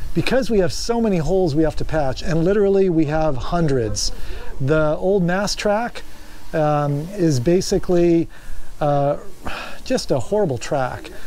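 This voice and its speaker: A man with a high pitch speaks at a fairly slow pace with lively intonation. Light background noise can be heard. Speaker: boat builder vlogger. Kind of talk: casual vlog chat. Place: boat. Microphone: phone near.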